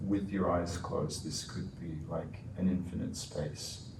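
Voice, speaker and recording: In a calm tone, a man with a very deep, low voice speaks at a fairly slow pace with fairly even intonation, amid audible room echo and noticeable background noise. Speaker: research interviewer. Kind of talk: structured interview.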